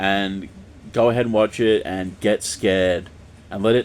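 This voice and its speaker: A man speaks with fairly even intonation. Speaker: YouTuber reviewing films. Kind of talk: casual video monologue. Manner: fast; hesitant, many fillers.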